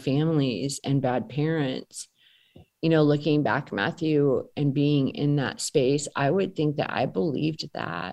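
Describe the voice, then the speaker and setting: Over a quiet background, a woman with a very deep, low pitch and an American accent speaks very slowly with lively intonation. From rural US. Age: 40s. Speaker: trauma and poverty trainer. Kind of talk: interview.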